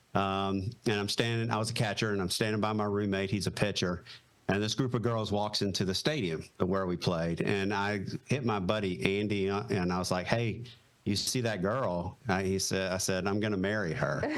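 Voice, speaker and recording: A man's fairly low voice with a Southern accent, fairly even intonation and a moderate pace. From US South, Raleigh, North Carolina. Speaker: retired Marine pilot. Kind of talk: casual interview chat.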